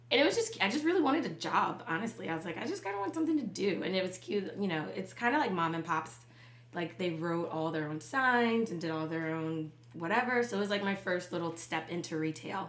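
A woman with an American accent, fairly low voice and lively intonation at a very fast pace, with audible room echo and noticeable background noise. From Charleston, South Carolina. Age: 30s. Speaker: business co-founder. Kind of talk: casual interview.

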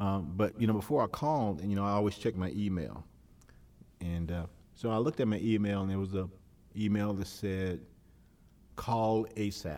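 A man's fairly low voice, dark and mellow in tone, at a fairly quick pace broken by long, frequent pauses. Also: ordinary pitch variation. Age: 50s. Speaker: son of the deceased giving a eulogy. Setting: church funeral service before a congregation. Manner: halting and repetitive, stumbling on words with frequent uh and restarts; earnest, emotional, rising into a preacherly refrain at the close.

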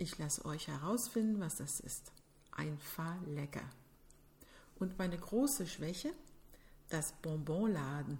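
In a French accent, a woman speaks at a very slow pace. Her tone is dark and mellow, and somewhat breathy. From Quebec City, Canada. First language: French (speaking German). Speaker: podcast host. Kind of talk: scripted narration.

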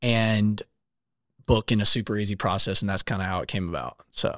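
Here a man at medium pitch uses an ordinary speaking voice, fairly quick and fairly even in intonation. The sound is dry and close with no echo, on a very clean recording with a silent background. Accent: American. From South Carolina. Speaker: app founder, songwriter and software developer. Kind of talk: casual interview. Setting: studio.

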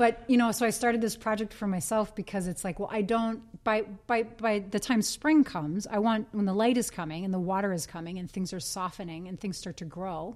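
Here a woman with an ordinary speaking voice and an American accent speaks at medium pitch with ordinary pitch variation. She moves at a fairly quick pace with hardly any pauses. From US Midwest, Green Bay, Wisconsin. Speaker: yoga studio owner and teacher. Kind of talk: casual interview.

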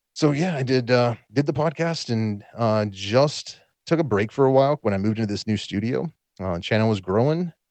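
A man with a plain, everyday voice, medium pitch, lively intonation and a moderate pace. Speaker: guest, tarantula keeper and podcaster. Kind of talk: casual conversational podcast interview.

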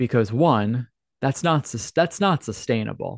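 A man with a medium-pitched voice, a normal speaking voice, talks fairly slowly with lively intonation. The background is quiet and the sound is dry and close, with no echo. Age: 30s. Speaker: podcast host and life coach. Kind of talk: solo monologue podcast.

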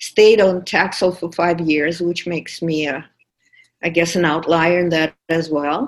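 Speaking with a Russian accent, a woman uses a fairly low pitch, fairly even intonation and a fairly slow pace. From Russia, St Petersburg. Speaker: podcast producer. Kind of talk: personal testimony.

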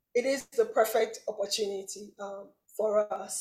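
This woman talks at a moderate pace, her fairly high voice carrying a dark, mellow tone. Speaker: podcast host. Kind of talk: casual interview.

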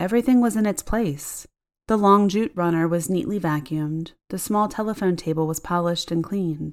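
This is a woman with a fairly low pitch and a plain, everyday voice. The recording is very clean, with a silent background. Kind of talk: ghost story telling, hushed and suspenseful, building dread. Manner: intimate first-person confiding tone, shifting into quoted dialogue.

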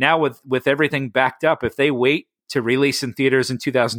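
Very fast speech from a medium-pitched man with an American accent and fairly even intonation, dry and close with no echo, on a very clean recording with a silent background. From New York City area. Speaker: actor and motivational speaker. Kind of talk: casual interview.

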